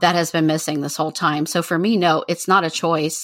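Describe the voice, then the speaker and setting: A woman's unremarkable speaking voice, fairly low in pitch. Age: 40s. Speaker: witch, podcast guest. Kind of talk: casual chat.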